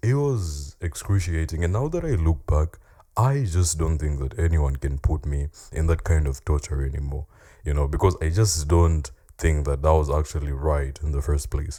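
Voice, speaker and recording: A man's very deep, low voice has a dark, mellow tone and is somewhat breathy. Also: ordinary pitch variation, moderate pace. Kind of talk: casual talk to camera.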